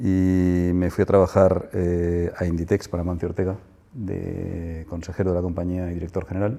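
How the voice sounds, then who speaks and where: A man with a very deep, low pitch and a dark, mellow tone speaks at a moderate pace in a flat monotone. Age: 60s. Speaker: business executive and investor. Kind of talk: interview. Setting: business center office.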